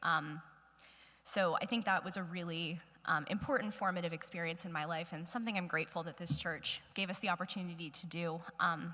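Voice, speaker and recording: A woman's loud, bright, sharp voice with an American accent at a fairly quick pace, on a very clean recording with a silent background. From US, northern Virginia (Ashburn). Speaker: guest speaker. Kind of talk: church talk. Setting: church hall with audience.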